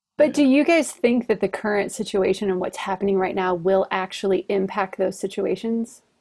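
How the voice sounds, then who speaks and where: A woman has an unremarkable speaking voice at medium pitch. She keeps a moderate pace with hardly any pauses. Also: ordinary pitch variation. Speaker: podcast host. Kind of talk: casual chat.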